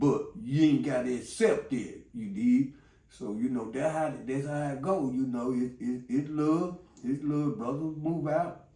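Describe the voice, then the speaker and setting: At a fairly slow pace, a man speaks with a fairly high pitch and ordinary pitch variation. Room echo is audible. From Chicago, West Side. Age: 60s. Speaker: former gang member. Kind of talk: interview storytelling. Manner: rambling with many fillers.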